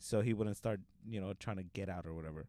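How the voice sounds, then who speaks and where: With an American accent and a normal speaking voice, a man talks at a fairly quick pace with ordinary pitch variation. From Los Angeles, South Central. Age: 20s. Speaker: comedian. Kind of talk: casual chat.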